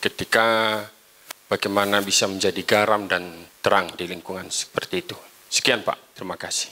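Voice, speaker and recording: A man with a normal speaking voice, fairly low in pitch, at a moderate pace with fairly even intonation. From East Lampung, Indonesia; Indonesia. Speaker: pastor, audience member. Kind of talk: audience question. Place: hall.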